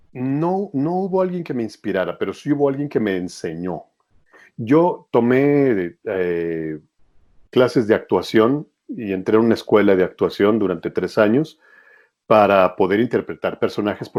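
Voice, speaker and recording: A man's medium-pitched voice with very wide swings in pitch. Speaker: voice actor. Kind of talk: interview.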